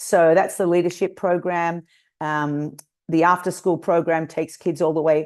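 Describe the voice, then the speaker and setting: A woman with an Australian accent speaks in a fairly low pitch at a moderate pace. The background is quiet. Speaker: nonprofit founder and Olympic kayaking coach. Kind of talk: webinar interview.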